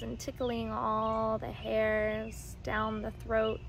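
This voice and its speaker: In a soothing, gentle tone, a woman speaks at a very slow pace, with a dry sound with no echo and light background noise. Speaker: somatic practitioner and video creator; somatic practice guide. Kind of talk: guided meditation. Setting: outdoors. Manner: slow, soothing, gentle and calm, with pauses. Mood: calm, soothing. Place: garden.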